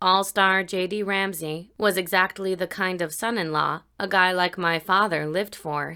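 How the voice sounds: The reading is delivered in a natural voice.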